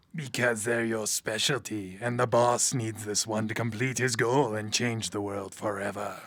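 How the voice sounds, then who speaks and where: Using a put-on character voice at medium pitch, a man talks at a moderate pace with hardly any pauses on a very clean recording with a silent background. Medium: audio drama. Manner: smug, mocking.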